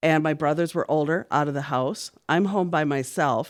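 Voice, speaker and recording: Against a quiet background, a woman with a very deep, low pitch speaks in an American accent at a moderate pace. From Minnesota, Minneapolis. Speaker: church worker, podcast guest. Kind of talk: interview.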